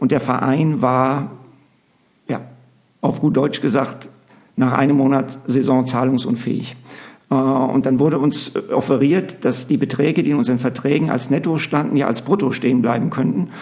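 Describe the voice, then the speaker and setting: Long, frequent pauses break up a man's moderate-paced speech, delivered at a medium pitch with fairly even intonation and very even loudness. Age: 50s. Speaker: basketball coach and TV commentator. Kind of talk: interview.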